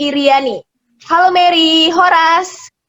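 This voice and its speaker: A woman's extremely high voice in a Medan accent, at a fairly slow pace with ordinary pitch variation. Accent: Medan Indonesian. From Medan, North Sumatra. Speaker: video host. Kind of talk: casual chat. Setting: video call.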